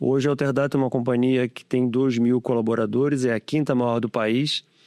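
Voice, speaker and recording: In an unremarkable speaking voice, a man of medium pitch talks at a moderate pace, the sound dry and close with no echo over a quiet background. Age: 60s. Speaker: tech company founder. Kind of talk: podcast interview.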